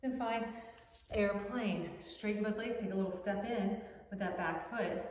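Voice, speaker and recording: Fairly slow speech from a woman, with very even loudness, ordinary pitch variation and audible room echo. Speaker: yoga instructor. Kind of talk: guided yoga class, instructing poses. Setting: home yoga studio video. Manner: brisk, rhythmic cueing; upbeat, encouraging. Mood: calm, encouraging. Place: home room.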